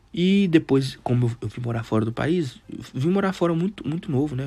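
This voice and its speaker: A man speaks very fast with lively intonation in a dark, mellow, somewhat breathy tone. The recording is very clean with a silent background. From Brazil, Teófilo Otoni, Minas Gerais. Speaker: podcast host. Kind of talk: casual monologue. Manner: halting.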